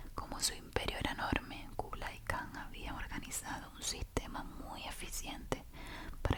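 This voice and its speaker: A woman whispers at a moderate pace. Noticeable background noise runs under her voice. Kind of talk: sleep story reading aloud. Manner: whispered, soft.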